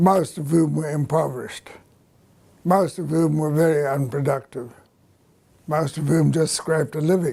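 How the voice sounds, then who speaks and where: Somewhat breathy and dark, mellow in tone, a man talks at a moderate pace with a fairly high pitch, leaving long, frequent pauses. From South Africa, Natal. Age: 80s+. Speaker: agricultural economist. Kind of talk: interview.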